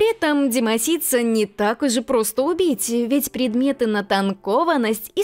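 Lively intonation and an upbeat tone over music in the background. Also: woman. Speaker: voice-over dubber. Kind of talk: video game guide narration.

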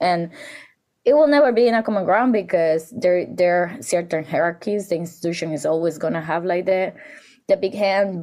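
Speaking with a Spanish accent, a woman uses a fairly low pitch with ordinary pitch variation. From Dominican Republic. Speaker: curator and artist. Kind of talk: interview conversation.

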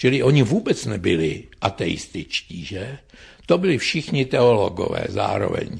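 With vocal fry and very wide pitch swings, a man talks at a fairly slow pace and medium pitch. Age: 70s. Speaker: philosophy professor. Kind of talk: radio interview.

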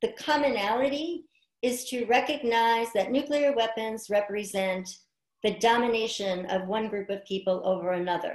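At a moderate pace, a woman with a fairly high pitch and ordinary pitch variation speaks against a quiet background with audible room echo. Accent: American. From New York City (Queens); New York City. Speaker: environmental health scientist; guest. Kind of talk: interview. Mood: earnest, concerned. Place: home room. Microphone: video call.

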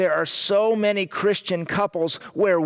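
Just a natural reading voice

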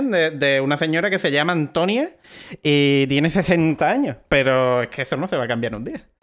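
Here a man talks with ordinary pitch variation. The background is quiet. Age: 20s. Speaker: podcast co-host. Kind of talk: casual chat. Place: home room. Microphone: headset.

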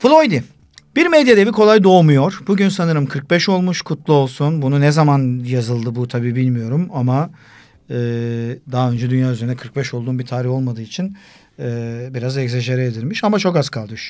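Lively intonation marks this man's speech. He talks at a medium pitch and moderate pace. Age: 40s. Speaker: sports broadcaster; podcast guest. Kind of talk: casual chat. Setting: studio. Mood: relaxed, joking. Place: studio. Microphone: studio mic.

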